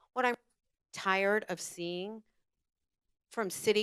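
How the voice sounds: Heard in a dry, close sound with no echo, a woman speaks in a clear, smooth tone with fairly even intonation.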